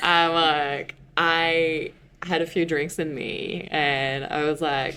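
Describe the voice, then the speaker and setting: Over music in the background, a woman speaks very slowly at a fairly low pitch in a monotone, flat intonation. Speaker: podcast guest sharing love story. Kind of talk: personal storytelling interview.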